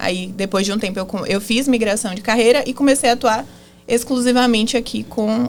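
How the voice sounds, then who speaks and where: Fairly high pitch from a woman, moderately paced and fairly even in intonation. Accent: Bahian. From Bahia, Brazil. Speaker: marketing agency founder, former lawyer. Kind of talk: podcast interview.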